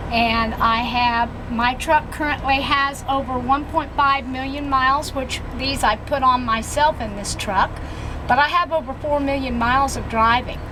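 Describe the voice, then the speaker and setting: A woman with a high pitch speaks in a raised, projected voice at a moderate pace, her intonation fairly even. Noticeable background noise and audible room echo fill the recording. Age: 70s. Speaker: truck driver. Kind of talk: testimony.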